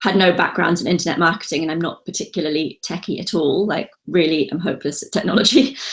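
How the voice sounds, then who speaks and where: A very fast, somewhat breathy woman's voice, fairly low in pitch, with ordinary pitch variation and hardly any pauses. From UK. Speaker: online seller and entrepreneur. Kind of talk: interview. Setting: call.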